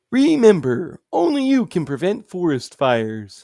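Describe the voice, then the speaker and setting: A man's put-on character voice at a high pitch, with very wide pitch swings and a moderate pace. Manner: goofy, announcer-like.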